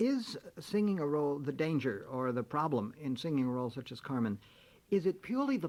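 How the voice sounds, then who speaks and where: Speaking at a fairly quick pace, a man has a fairly high pitch. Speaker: radio host. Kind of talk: radio interview.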